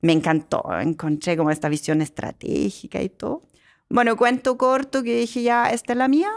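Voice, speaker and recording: A woman speaks at a moderate pace with a fairly high pitch and very wide pitch swings, in a very clean recording with a silent background. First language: German (speaking Spanish). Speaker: company director and angel investor. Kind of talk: podcast interview.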